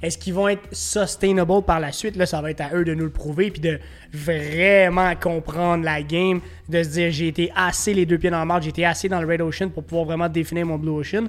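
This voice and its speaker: Speaking in a Quebec accent at a fairly quick pace, the voice keeps a fairly even intonation. Noticeable background noise sits behind it. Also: man. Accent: Québécois French. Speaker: podcast host. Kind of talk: casual chat.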